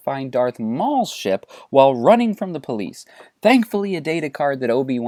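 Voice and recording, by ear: The text is read out loud in a natural voice.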